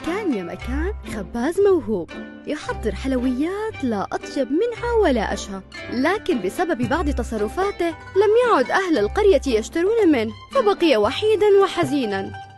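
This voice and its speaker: The speech moves at a fairly slow pace, with music playing in the background. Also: woman. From Saudi Arabia. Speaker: voice actor. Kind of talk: TV commercial read.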